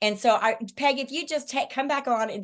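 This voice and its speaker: A loud, high-pitched woman's voice at a fairly quick pace, with ordinary pitch variation. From Alaska. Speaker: direct sales leader. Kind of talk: sales pitch. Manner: loud, excitable.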